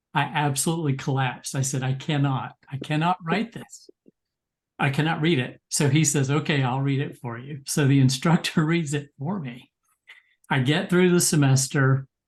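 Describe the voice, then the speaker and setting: This man's voice is somewhat breathy and fairly high in pitch. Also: moderate pace. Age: 60s. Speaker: psychologist and memoir writer. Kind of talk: webinar discussion. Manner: animated storytelling.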